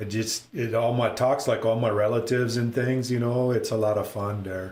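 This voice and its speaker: A man with an American accent speaks at a moderate pace and medium pitch, with audible room echo around him. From northern Minnesota. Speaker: pinball streamer. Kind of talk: live stream gameplay commentary. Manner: casual, animated.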